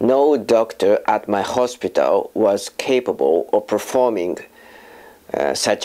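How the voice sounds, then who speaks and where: Here a man talks with a Japanese accent. His pace is very slow. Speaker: filmmaker and voice actor. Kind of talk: personal testimony. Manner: halting, with fillers.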